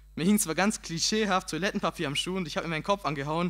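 At a very fast pace, a man talks in an animated tone at a high pitch. His pitch variation is ordinary. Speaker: slam poet. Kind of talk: poetry slam performance, comic storytelling. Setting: stage with audience. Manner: animated, punchy comic delivery; casual, colloquial, cheeky. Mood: humorous storytelling, acts out self-talk. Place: stage. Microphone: handheld.

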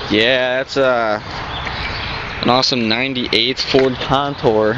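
Recorded dry with no echo but with noticeable background noise, a man talks with ordinary pitch variation. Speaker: vlogger. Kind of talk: casual vlog chat. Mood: joking, self-deprecating. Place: street. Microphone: phone near.

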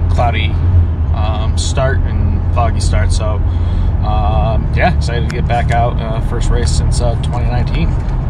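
With music in the background, a man speaks at a very slow pace with ordinary pitch variation, the sound dry with no echo. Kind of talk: casual vlog chat. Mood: upbeat, excited. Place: car. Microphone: phone near.

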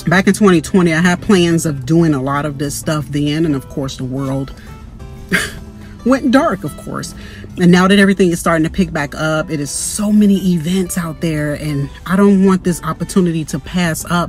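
Over faint background music, a woman with a fairly low pitch and ordinary pitch variation speaks at a moderate pace in a dry sound with no echo. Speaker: vlogger. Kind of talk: casual vlog chat. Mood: upbeat, reflective. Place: car. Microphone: phone near.

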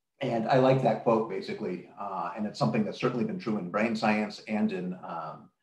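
A man at a moderate pace, with audible echo from the room. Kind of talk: lecture. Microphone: webcam.

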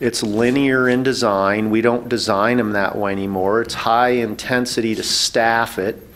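A man speaks in a monotone with flat intonation, hardly pausing at all. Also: moderate pace. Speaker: panelist. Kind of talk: public forum explanation. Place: meeting room. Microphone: podium.

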